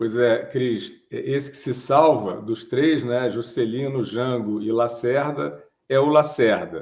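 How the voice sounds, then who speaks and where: Over a quiet background, a man talks at a very slow pace with hardly any pauses, ordinary pitch variation, and big swings in loudness. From Brazil. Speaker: writer and journalist; journalist. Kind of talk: interview. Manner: hesitant, many fillers. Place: home room. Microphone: webcam.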